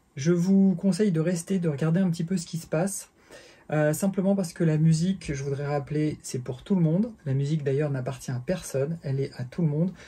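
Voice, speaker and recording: The voice carries a dark, mellow tone with ordinary pitch variation. It moves at a fairly quick pace. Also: man, fairly high pitch for a man. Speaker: bass teacher. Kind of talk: tutorial. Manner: halting, many fillers.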